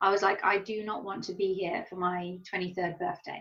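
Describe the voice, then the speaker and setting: This woman speaks in an English accent. Her pace is moderate. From England. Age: 30s. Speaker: professional Muay Thai fighter. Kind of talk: interview. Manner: animated.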